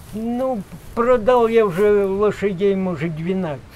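Lively intonation from a man. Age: 80s+. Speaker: village farmer, horse and bee keeper. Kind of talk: interview answer.

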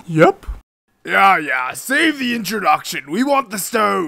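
Putting on a character voice, a man projects loudly at a fairly slow pace, pitched high with very wide pitch swings. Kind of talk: comic overacting. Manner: boastful, dim, cheerful.

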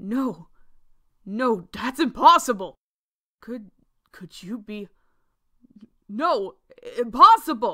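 Putting on a character voice, a woman talks at a very slow pace and a high pitch, with long, frequent pauses. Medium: audio drama. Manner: menacing, taunting.

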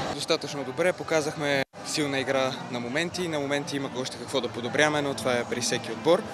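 Over noticeable background noise, a man speaks with a fairly high pitch and fairly even intonation. His moderate-paced delivery sounds dry, with no echo. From Bulgaria. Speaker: footballer. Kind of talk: post-match interview. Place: stadium. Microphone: handheld.

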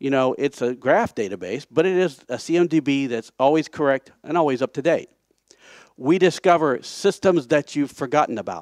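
Against a quiet background, a man with an American accent talks at a moderate pace in a fairly high pitch. He has a plain, everyday voice with lively intonation. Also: dry sound with no echo. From United States. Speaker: conference speaker, software project founder. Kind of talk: conference talk. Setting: stage. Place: hall.

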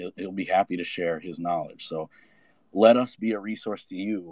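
A man speaks in a very deep, low voice. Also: dry, close sound with no echo. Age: 30s. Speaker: blockchain developer. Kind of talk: casual chat.

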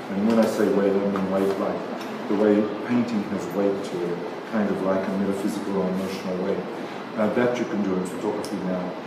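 Over loud background noise and audible room echo, a man speaks at a fairly quick pace. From Australia. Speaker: photographer. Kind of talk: artist talk. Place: hall. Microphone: camera far.

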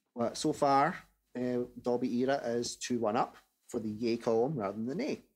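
At a moderate pace, a man talks with faint music in the background. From Scotland. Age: 30s. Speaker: podcast host and Thomas fan; podcast host. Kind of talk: casual chat. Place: home room. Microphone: studio mic.

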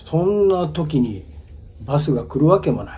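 Very wide swings in pitch from a man talking at a moderate pace. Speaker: ghost story teller. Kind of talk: ghost story telling on location. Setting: outdoors at a highway bus stop at night. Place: street. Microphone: phone near.

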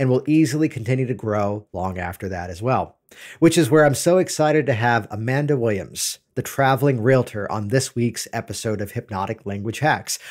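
Over a quiet background, a man talks at a fairly quick pace with lively intonation and hardly any pauses. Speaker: podcast host. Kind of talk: podcast intro monologue. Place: studio. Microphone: studio mic.

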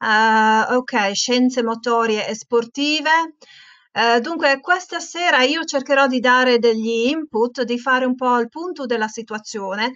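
Over a quiet background, a woman speaks in a high pitch at a fairly slow pace with ordinary pitch variation. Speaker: teacher leading a webinar for teachers; teacher trainer hosting webinar. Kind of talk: webinar presentation. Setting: online webinar. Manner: hesitant, many fillers. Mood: warm, friendly. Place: home room. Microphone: earbuds.

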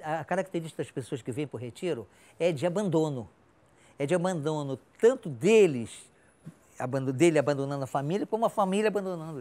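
The voice has a dark, mellow tone and lively intonation, with big swings in loudness. The pace is fairly quick, broken by long, frequent pauses. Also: man, fairly high pitch for a man. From Rio de Janeiro, Brazil. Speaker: staff member at a retirement home for artists. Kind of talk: interview storytelling. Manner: halting, with repetitions. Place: hall. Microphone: lapel.

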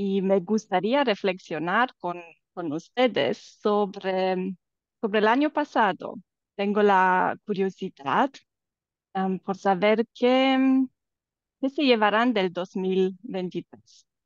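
A woman with a Romanian accent speaks at a very slow pace and a medium pitch, leaving long, frequent pauses, in a dry recording with no echo and a quiet background. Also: ordinary pitch variation. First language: Romanian (speaking Spanish). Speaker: life coach. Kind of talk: casual chat. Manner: halting. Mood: warm, smiling. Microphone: video call.

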